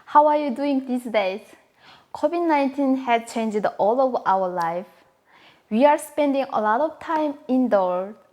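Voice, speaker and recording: With a Korean accent, a woman speaks at a high pitch. Her intonation is lively and her pace fairly slow. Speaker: home cooking video host. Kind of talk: casual cooking tutorial to camera.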